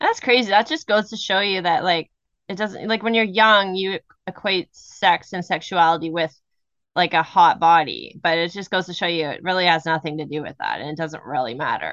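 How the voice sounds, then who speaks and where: With a plain, everyday voice, a woman talks at a moderate pace and fairly low pitch, with ordinary pitch variation over a quiet background. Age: 40s. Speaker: podcast co-host. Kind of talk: casual chat.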